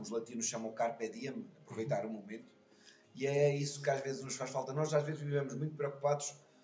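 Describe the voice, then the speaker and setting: Audible room echo surrounds this man's voice. His pitch is fairly high and he sounds somewhat breathy. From Portugal. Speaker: schoolteacher. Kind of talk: interview.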